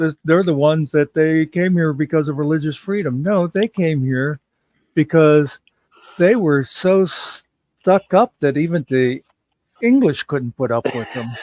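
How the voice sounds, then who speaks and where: Recorded dry and close with no echo, a man with an unremarkable speaking voice and fairly high pitch talks at a fairly slow pace. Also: ordinary pitch variation. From United States. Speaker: live stream host. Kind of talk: casual chat.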